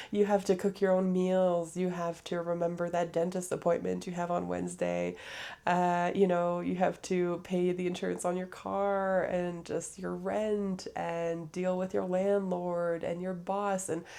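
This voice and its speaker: Speaking at a fairly slow pace with hardly any pauses, a woman with a fairly low pitch and a dark, mellow tone keeps a monotone, flat intonation. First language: French. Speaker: podcaster. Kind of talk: casual monologue. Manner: hesitant, many fillers.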